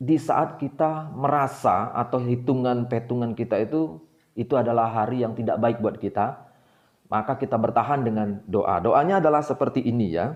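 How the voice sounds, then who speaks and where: A man speaks with a Javanese accent at a medium pitch. His intonation is lively. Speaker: book discussion channel host. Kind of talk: informal lecture. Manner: many hesitations (eh).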